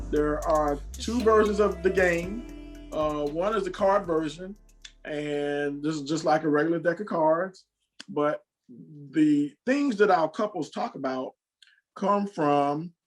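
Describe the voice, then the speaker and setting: Music plays in the background as a man speaks. His pitch is fairly high with ordinary variation, and his pace is fairly slow. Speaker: game creator. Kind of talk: infomercial host intro.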